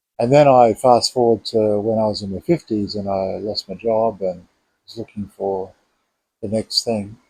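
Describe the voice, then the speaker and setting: A man's fairly low, dark, mellow voice at a moderate pace, dry and close with no echo. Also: fairly even intonation. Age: 60s. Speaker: vlogger. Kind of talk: casual monologue. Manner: halting.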